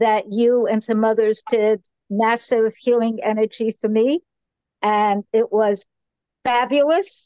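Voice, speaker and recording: A dark, mellow voice with an American accent, in a dry, close sound with no echo. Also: woman. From United States. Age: 80s+. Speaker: workshop participant. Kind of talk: casual group sharing. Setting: video call.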